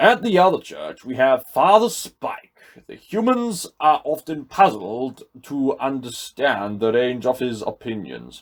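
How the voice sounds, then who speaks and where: The speaker is a man doing a put-on character voice. His pace is fairly slow. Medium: read story.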